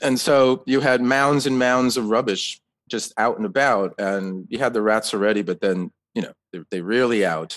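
In an American accent, this is a normal speaking voice with ordinary pitch variation at a moderate pace. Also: man, medium pitch for a man. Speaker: author. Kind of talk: interview.

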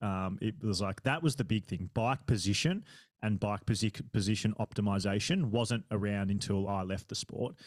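In a very clean recording with a silent background, the speaker has an Australian accent, a moderate pace and ordinary pitch variation. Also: man, fairly low pitch for a man. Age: 30s. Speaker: triathlon podcaster and age-group triathlete. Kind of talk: casual interview chat.

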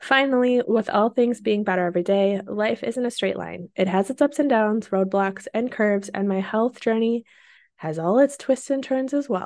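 An unremarkable speaking voice from a woman, fairly high in pitch with ordinary pitch variation, at a moderate pace over a quiet background. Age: 30s. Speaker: podcast host, working mom. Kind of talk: personal monologue. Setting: home office.

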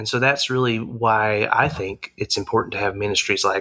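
In a dry, close sound with no echo, a man with an Arkansas accent speaks at a moderate pace. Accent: Southern US (Arkansas). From Arkansas, Harrison. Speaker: campus ministry leader. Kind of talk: interview.

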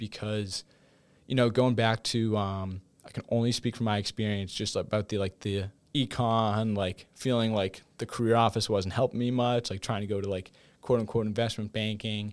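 A man at a moderate pace in a monotone, flat intonation. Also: fairly low pitch for a man, very clean recording, silent background. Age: 20s. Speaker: college student and football player. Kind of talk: casual interview. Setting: studio.

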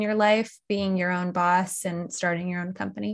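A woman's unremarkable speaking voice at a medium pitch and a moderate pace. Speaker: podcast host. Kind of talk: casual chat.

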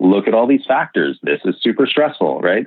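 A man with a western Canadian accent speaks with lively intonation. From Okanagan, British Columbia, Canada. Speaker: designer and urbanism writer. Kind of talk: casual conversation. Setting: remote call.

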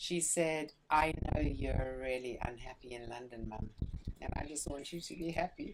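With vocal fry and ordinary pitch variation, a woman speaks in a very deep, low register. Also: moderate pace. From South Africa, Johannesburg. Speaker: spiritual channeller and teacher. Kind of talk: interview. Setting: retreat center.

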